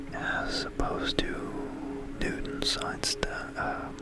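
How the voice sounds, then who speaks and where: Whispering with music in the background. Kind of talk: ASMR science explainer with software demo narration. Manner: whispered.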